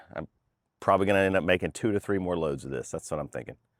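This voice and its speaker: A man speaks in an American accent, with vocal fry and ordinary pitch variation. The sound is dry and close with no echo, on a very clean recording with a silent background. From North Carolina. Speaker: firewood splitting vlogger. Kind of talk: casual vlog narration. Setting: outdoors. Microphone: new clip-on noise canceling microphone with furry windscreen.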